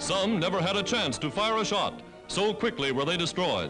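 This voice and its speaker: Music plays in the background as a man with a high pitch speaks at a moderate pace with lively intonation. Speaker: newsreel narrator. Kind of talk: wartime newsreel narration. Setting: vintage 1940s newsreel recording.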